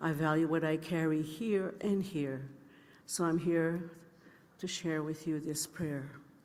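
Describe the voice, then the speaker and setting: Delivered at a fairly slow pace with long, frequent pauses, the speech is monotone and flat, with audible room echo. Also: woman. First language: Anishinaabe. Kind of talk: ceremonial opening remarks.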